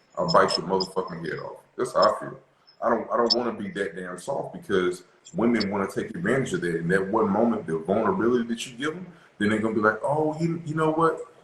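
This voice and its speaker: Speaking very fast with an American accent, a man swings widely in pitch and loudness, his voice somewhat breathy. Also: medium pitch for a man. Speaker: relationship talk show host. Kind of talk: casual discussion. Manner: animated.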